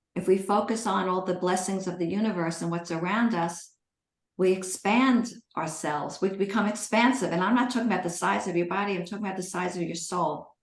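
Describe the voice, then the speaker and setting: A woman speaks at a fairly quick pace and medium pitch. Her intonation is fairly even, and there is audible room echo. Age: 60s. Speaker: eating disorder recovery coach and author. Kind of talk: live Q&A coaching session.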